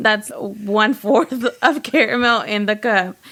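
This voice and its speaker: The pitch shows ordinary variation. Behind the voice, noticeable background noise is audible. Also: woman. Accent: American. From Texas, Houston. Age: 20s. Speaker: baker. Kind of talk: casual chat.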